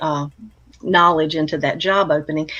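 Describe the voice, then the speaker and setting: Speaking at a fairly quick pace, a woman uses a plain, everyday voice with ordinary pitch variation. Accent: American. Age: 60s. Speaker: retired counselor and blogger. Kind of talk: interview conversation.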